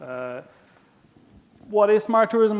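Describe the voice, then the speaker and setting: A man speaks with a strong Irish accent. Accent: Irish, thick. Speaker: smart tourism manager, conference speaker. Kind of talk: conference presentation. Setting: stage with audience and interpreters. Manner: casual, self-deprecating.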